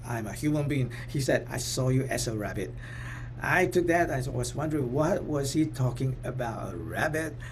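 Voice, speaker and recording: Speech moves at a moderate pace. Room echo is audible. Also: man. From Singapore. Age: 60s. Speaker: professor and motivational speaker. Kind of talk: talk. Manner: halting, repetitive fillers.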